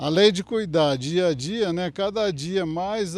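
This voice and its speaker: A man's very slow delivery with lively intonation. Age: 60s. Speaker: cattle breeder. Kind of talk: TV interview. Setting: on a farm.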